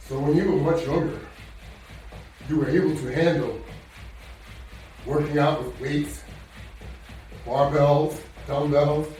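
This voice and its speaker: This man's fairly high voice stays monotone and flat at a fairly slow pace, broken by long, frequent pauses, with audible room echo and noticeable background noise. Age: 70s. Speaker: fitness instructor. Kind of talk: workout tutorial. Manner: conversational, encouraging.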